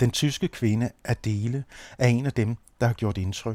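In a very clean, dry, close recording with no echo and a silent background, a man speaks at a medium pitch with a dark, mellow tone and ordinary pitch variation. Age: 50s. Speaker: anthropologist and radio producer. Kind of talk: scripted narration.

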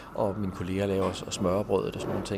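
This man's voice is fairly low in pitch. He speaks at a very fast pace. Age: 50s. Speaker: pastor and manager of a drop-in centre. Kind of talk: interview. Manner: halting, with frequent repeated words.

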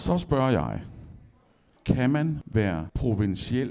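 With lively intonation, a man talks in a dark, mellow tone marked by vocal fry. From Denmark, Esbjerg. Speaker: poet. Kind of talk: public conversation on stage. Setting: library stage with audience.

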